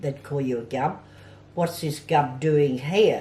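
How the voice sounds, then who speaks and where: A woman's very deep, low, somewhat breathy voice with ordinary pitch variation. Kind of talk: interview answer.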